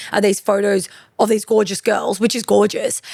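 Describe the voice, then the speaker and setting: Speaking at a very fast pace with vocal fry, a woman talks in an Australian accent. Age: 30s. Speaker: fashion boutique owner. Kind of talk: interview conversation. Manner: loud and extroverted; fast, animated.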